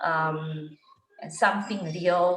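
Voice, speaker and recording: A woman with a fairly low voice speaks very slowly, and room echo is audible. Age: 40s. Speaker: IT worker turning life coach. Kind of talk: casual chat.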